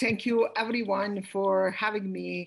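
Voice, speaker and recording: A woman with a Yugoslav accent speaks at a fairly slow pace in a somewhat breathy voice. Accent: Yugoslav-region. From former Yugoslavia. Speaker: lawyer. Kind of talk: panel talk. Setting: video call.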